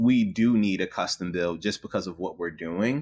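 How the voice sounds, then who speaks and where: A man's fairly low, plain, everyday voice with an American accent and lively intonation, on a very clean recording with a silent background. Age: 30s. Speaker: marketing executive. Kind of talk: interview.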